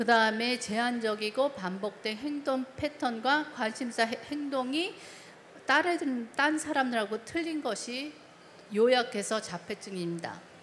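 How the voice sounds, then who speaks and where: Amid noticeable background noise, a woman with a non-native accent speaks at a very slow pace in a high pitch with ordinary pitch variation. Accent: non-native Korean, heavy English loanwords. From South Korea, emigrated to US in childhood. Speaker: developmental pediatrician. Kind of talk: lecture. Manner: halting, many fillers.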